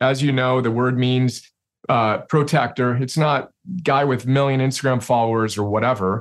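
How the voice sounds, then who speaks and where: A man with an unremarkable speaking voice talks at a moderate pace, his loudness very even and his intonation fairly even. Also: medium pitch for a man. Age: 40s. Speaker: CEO and self-help author. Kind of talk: interview conversation.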